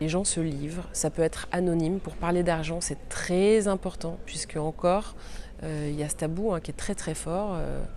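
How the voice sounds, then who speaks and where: Intonation stays fairly even while the speech moves at a moderate pace. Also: woman, fairly low pitch for a woman. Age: 40s. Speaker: journalist and podcaster. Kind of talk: interview answers. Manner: hesitant, many fillers.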